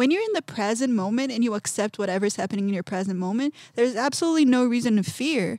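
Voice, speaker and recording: A woman speaks at a very fast pace with a Portuguese accent and a fairly high pitch. Her tone is animated and her intonation lively, with a dry, close sound and no echo. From Brazil, São Paulo. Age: 20s. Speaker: artist. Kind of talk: casual interview.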